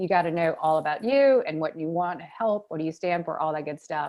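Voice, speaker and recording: This woman's voice has a fairly low pitch. Her intonation is lively. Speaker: personal brand strategist. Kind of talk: panel discussion. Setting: video call.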